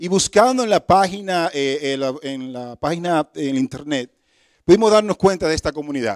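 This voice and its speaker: A man with a Dominican accent, fairly high pitch and lively intonation, in a dry, close sound with no echo on a very clean recording with a silent background. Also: moderate pace, big swings in loudness. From Dominican Republic. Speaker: guest preacher. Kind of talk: sermon. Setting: church service.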